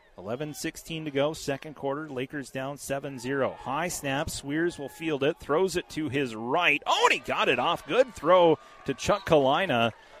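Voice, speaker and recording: Fairly high-pitched man at a fairly slow pace, hardly any pauses, ordinary pitch variation, and noticeable background noise. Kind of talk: live commentary.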